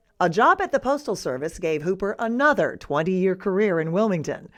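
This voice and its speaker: Against a quiet background, a woman at medium pitch swings her pitch very widely. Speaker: TV news reporter. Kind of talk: TV news report narration.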